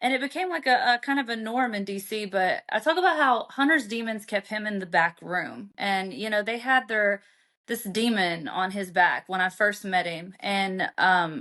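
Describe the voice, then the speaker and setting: A woman with a Southern US accent talks at a moderate pace and a fairly high pitch, with hardly any pauses. Her tone is bright and sharp, her intonation lively, and the background quiet. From Arkansas, US South. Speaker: author. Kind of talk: interview storytelling.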